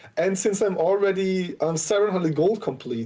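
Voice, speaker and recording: With a German accent, a man speaks fairly quickly at a high pitch, his dark, mellow tone carrying lively intonation. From Austria. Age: 20s. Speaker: Twitch streamer. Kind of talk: casual chat.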